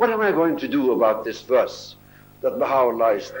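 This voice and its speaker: A man talks at a fairly quick pace, with audible room echo. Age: 80s+. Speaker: religious speaker. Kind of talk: talk to an audience.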